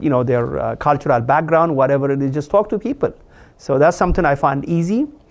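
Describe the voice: With vocal fry and a slightly mellow tone, a man speaks at a fairly quick pace. His pitch is medium.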